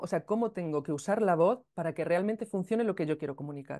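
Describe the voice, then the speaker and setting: A woman with a fairly low pitch talks at a fairly quick pace with lively intonation against a quiet background. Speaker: podcast creator and music teacher. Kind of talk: interview. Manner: hesitant, with many fillers.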